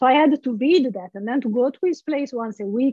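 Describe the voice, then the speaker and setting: Here a woman is speaking. She has an Italian accent. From Italy, Genoa. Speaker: philosophy lecturer. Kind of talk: casual interview.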